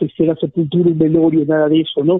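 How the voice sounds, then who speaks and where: This man has a high pitch. He speaks at a moderate pace. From Ecuador. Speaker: journalist. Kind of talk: interview. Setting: phone call.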